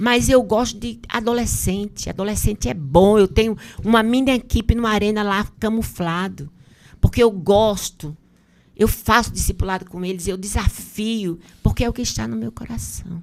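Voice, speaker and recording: This woman talks at a moderate pace with a medium pitch and an unremarkable speaking voice. Her pitch varies in an ordinary way, while her loudness swings widely. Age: 60s. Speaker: bishop. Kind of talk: podcast interview.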